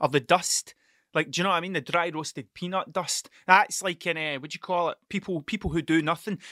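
In a Scottish accent, a man speaks fairly quickly in a high voice with a bright, sharp tone, the sound dry and close with no echo in a very clean recording with a silent background. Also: fairly even intonation. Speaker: podcast host. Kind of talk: casual solo monologue, rambling. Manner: stuttering, halting, self-interrupting; profane, self-deprecating.

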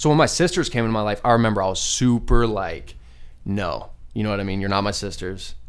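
A man with an American accent at a fairly low pitch and a very fast pace, with audible room echo. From Arizona, Phoenix area. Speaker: musician and school speaker. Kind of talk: casual interview.

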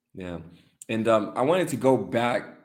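A man talks in a normal speaking voice at a medium pitch with ordinary pitch variation. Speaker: podcast host. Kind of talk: casual interview chat.

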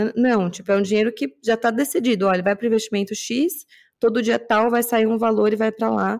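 On a very clean recording with a silent background, a woman talks at a fairly quick pace in a fairly high pitch with ordinary pitch variation. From São Paulo, Brazil (Zona Norte). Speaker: podcast co-host. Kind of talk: casual chat.

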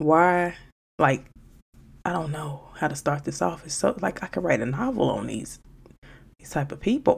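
On a very clean recording with a silent background, a woman with a very deep, low pitch and vocal fry sounds animated, her voice making very wide pitch swings at a moderate pace broken by long, frequent pauses. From Chicago, South Side. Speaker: podcast host. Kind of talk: casual monologue.

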